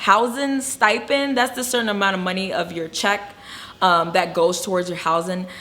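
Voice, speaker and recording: A woman's medium-pitched voice with lively intonation over noticeable background noise. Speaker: travel nurse and video blogger. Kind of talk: casual vlog talk. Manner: stuttering at times.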